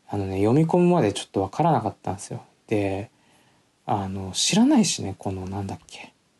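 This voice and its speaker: At a fairly quick pace, a man speaks with lively intonation and big swings in loudness. His fairly low, dark, mellow voice is somewhat breathy. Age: 20s. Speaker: podcast host. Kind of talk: solo talk with reading aloud. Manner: casual, filler-heavy.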